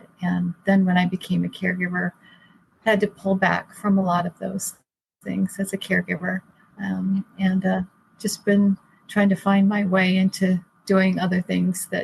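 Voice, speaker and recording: A woman's somewhat breathy voice carries a monotone, flat intonation. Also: medium pitch for a woman, moderate pace, dry, close sound with no echo. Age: 60s. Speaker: caregiver. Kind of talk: interview. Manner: halting.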